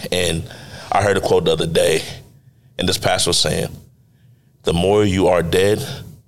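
A man speaks at a moderate pace with long, frequent pauses, his voice carrying audible room echo. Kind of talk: faith testimony.

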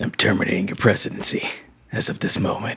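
This man uses a put-on character voice that is raspy. He talks at a very fast pace. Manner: scary, commanding.

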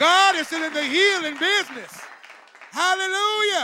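A man's raised, projected voice over crowd noise in the background. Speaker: preacher. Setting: church with live congregation. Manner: warm and encouraging.

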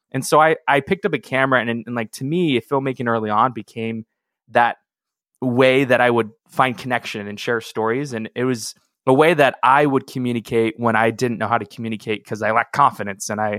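A man with a West Coast accent at medium pitch, fairly quick and fairly even in intonation, in a dry, close sound with no echo. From US Pacific Northwest, Seattle. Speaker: filmmaker and video marketing coach. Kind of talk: interview. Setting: remote recording.

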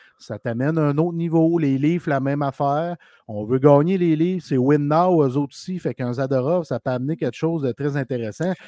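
Speaking with a Quebec accent, a man with a fairly high pitch and a dark, mellow tone uses ordinary pitch variation, recorded dry and close with no echo. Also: fairly quick pace. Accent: Québécois French. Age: 40s. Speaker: hockey podcast co-host. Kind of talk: casual chat.

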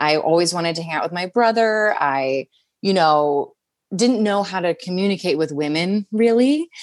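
A woman with a plain, everyday voice speaks at a moderate pace with an American accent, her pitch medium and her intonation lively. The sound is dry and close with no echo, over a quiet background. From Southern New Jersey. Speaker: actor and host. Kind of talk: casual chat.

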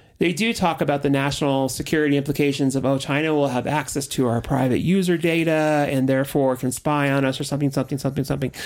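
Very fast, American-accented speech with hardly any pauses over music in the background. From Southern California, Orange County. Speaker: podcast host. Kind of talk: casual chat.

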